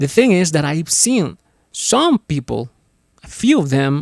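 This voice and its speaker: With a non-native accent and lively intonation, a man speaks at a fairly slow pace in a dry, close recording with no echo. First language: not English. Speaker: podcast host. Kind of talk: solo podcast monologue. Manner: halting, frequent self-corrections.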